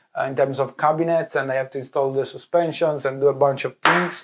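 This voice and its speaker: In an Italian accent, a man talks with fairly even intonation. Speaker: vlogger, visual effects lighting artist. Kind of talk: casual vlog. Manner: halting, many fillers.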